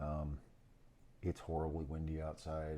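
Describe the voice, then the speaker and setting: Mumbling at a moderate pace, a man speaks with a very deep, low pitch. His tone is dark and mellow. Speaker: FPV drone hobbyist. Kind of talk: casual build narration to camera. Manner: mumbling, casual.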